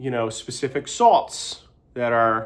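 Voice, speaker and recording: A loud man speaks at a fairly slow pace with ordinary pitch variation. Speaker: vlogger. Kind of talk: casual monologue. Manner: halting.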